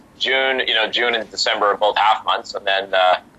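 A man speaking over noticeable background noise. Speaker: master of ceremonies and auctioneer. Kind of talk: podcast interview answer, casual conversational.

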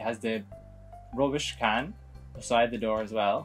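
A man's pitch varies in an ordinary way while faint music sits in the background. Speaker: video game let's play host. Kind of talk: slow, clear explanation for English learners. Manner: slow, clear. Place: home room.

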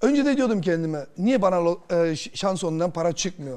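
A man's high-pitched voice with a dark, mellow tone, at a moderate pace. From Germany, Turkish emigrant from Kırşehir; Germany. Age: 40s. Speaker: lottery winner; talk show guest. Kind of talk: TV interview, personal story. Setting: TV studio. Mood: earnest, emotional. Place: studio. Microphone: lapel.

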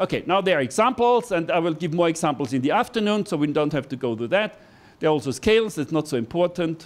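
Speaking very fast with lively intonation, a man with a high pitch talks in an Austrian accent. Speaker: university professor, hydrologist. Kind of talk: lecture. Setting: classroom with audience. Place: classroom. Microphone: handheld.

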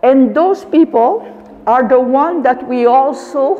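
Lively intonation marks this very slow delivery, heard over light background noise. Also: woman. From Canada. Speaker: teacher and interpreter at a high school. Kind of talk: conference presentation. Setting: seminar with live audience. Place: classroom.

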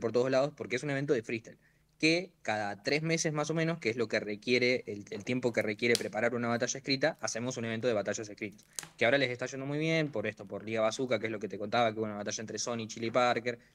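A man speaks at a very fast pace with ordinary pitch variation. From Santa Rosa, La Pampa, Argentina; La Pampa, Argentina. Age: young. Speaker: freestyle rapper; guest. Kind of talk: interview. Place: home room. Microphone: video call.

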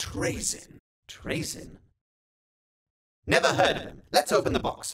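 A man's put-on character voice, high-pitched and raspy, at a fairly slow pace with long, frequent pauses and big swings in loudness. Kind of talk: comedic meme dub, several characters. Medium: dub.

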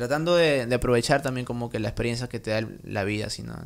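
A man talks at a very fast pace. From Trujillo, Peru; Peru. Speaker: music producer; podcast guest. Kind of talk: casual interview; interview answer. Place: home room. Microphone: studio mic.

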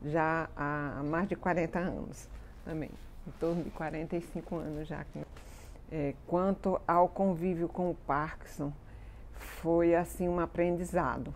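Intonation stays monotone and flat as a woman with a fairly low pitch talks at a fairly slow pace. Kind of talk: interview answer. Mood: calm, reflective. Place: garden. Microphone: lapel.

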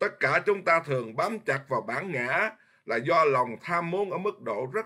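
Against a quiet background, a man with a fairly high pitch talks at a fairly slow pace with lively intonation. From Vietnam. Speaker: Buddhist monk teacher. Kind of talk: dharma lecture. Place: home room. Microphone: webcam.

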